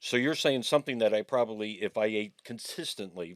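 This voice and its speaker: A man with an ordinary speaking voice talks at a moderate pace and a fairly low pitch. The sound is dry and close, with no echo. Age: 60s. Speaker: podcast co-host. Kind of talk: casual chat.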